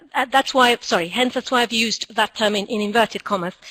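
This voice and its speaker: A woman speaks with an Argentine accent and a fairly high pitch. The sound is dry and close, with no echo. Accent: Argentinian accent in English. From Argentina. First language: Spanish. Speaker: school director and teacher trainer. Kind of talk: conference talk.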